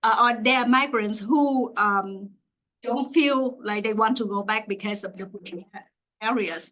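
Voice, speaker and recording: Speech with a Vietnamese accent comes at a fairly slow pace, with a bright, sharp tone and ordinary pitch variation. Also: woman, fairly high pitch for a woman. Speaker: graduate student researcher. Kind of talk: Q&A after a research talk. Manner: halting, many fillers.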